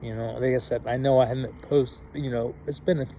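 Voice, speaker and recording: A man at medium pitch, with ordinary pitch movement, talks over noticeable background noise. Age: 30s. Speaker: YouTuber. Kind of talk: motivational vlog talk. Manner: halting.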